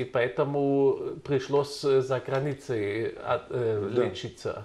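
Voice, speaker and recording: A man with a German accent, fairly high in pitch and somewhat breathy, at a very slow pace. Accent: German accent in Russian. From Germany. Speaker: journalist. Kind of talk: interview questions. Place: studio. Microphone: lapel.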